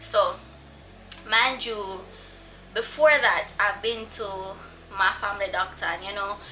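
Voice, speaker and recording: A woman talks at a moderate pace, with noticeable background noise present. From Jamaica. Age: 20s. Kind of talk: casual talk to camera.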